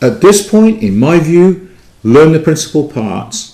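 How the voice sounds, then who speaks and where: A man with an English accent speaks at a moderate pace in a dark, mellow tone. Room echo can be heard. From England. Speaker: Greek teacher. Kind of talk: lecture. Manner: halting, many fillers and restarts.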